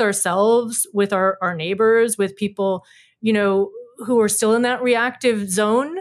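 In a very clean recording with a silent background, a woman has a plain, everyday voice, a fairly high pitch with ordinary variation and a moderate pace. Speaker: environmental ethics center director. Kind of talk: interview.

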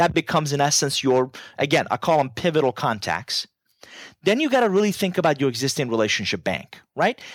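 Spoken at a fairly quick pace with a Persian accent, the voice holds a very even loudness in a very clean recording with a silent background and a dry, close sound with no echo. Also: man, fairly high pitch for a man, lively intonation. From Iran. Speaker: business author and keynote speaker. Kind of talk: casual interview chat.

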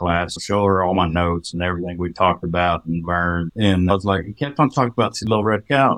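In a West Texas accent, a man talks at a fairly quick pace. The recording is very clean with a silent background and a dry, close sound with no echo. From Texas Panhandle. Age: 40s. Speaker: farmer. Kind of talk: casual chat.

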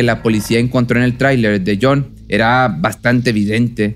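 A man speaks at a moderate pace in a normal speaking voice, medium in pitch, with fairly even intonation. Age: 30s. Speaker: true crime podcast narrator. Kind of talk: scripted storytelling narration.

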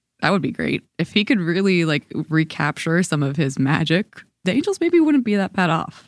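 A woman with a plain, everyday voice talks at a moderate pace and fairly low pitch, in a very clean recording with a silent background and a dry, close sound with no echo. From Georgia, US. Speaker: baseball beat reporter. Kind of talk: casual chat.

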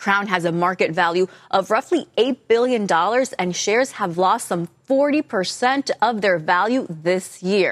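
A woman with a normal speaking voice talks at a medium pitch and fairly slow pace, with lively intonation. Her loudness stays very even, and the sound is dry and close with no echo. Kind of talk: newsreading.

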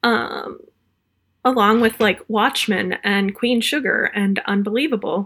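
A woman's bright, sharp tone at a moderate pace. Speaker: TV awards editor and podcast co-host. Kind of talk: casual chat. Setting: video call.

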